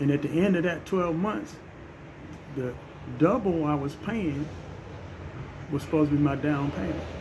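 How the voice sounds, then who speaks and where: Room echo is audible. Background noise is noticeable. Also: man. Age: 60s. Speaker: social media commentator. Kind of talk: personal monologue.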